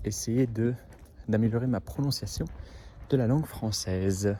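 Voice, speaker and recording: A man speaks at a medium pitch with a dark, mellow tone. His voice is somewhat breathy, with ordinary pitch variation. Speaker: au pair vlogger. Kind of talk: casual vlog monologue. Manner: under-articulated, mouth too closed; halting, many hesitations.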